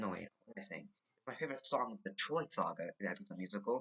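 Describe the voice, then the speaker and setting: Very fast and bright, this man's voice has a sharp tone. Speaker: gaming YouTuber. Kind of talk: casual commentary ranking songs.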